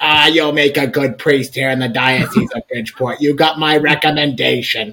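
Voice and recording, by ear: A man uses a raspy, put-on character voice with a fairly high pitch. He keeps a moderate pace and fairly even intonation.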